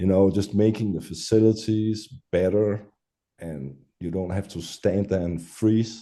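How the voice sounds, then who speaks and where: A man's fairly low voice with a Danish accent, fairly slow pace and fairly even intonation. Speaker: metal musician. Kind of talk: interview. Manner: halting.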